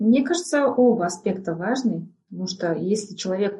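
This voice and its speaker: Delivered at a moderate pace, the voice has a dark, mellow tone and sounds somewhat breathy. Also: woman. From northern Kazakhstan, small village. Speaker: voice and speech coach, former radio and TV host. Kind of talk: interview.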